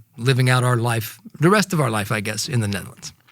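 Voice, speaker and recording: A man with an American accent speaks in a somewhat breathy voice. His pitch varies in an ordinary way. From United States. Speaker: podcast host, investor. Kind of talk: casual chat.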